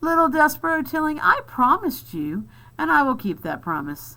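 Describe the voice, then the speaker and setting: In a put-on character voice, a female-sounding speaker projects at a high pitch with very wide pitch swings and a moderate pace, on a very clean recording with a silent background. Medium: read story. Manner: oily, gleefully polite.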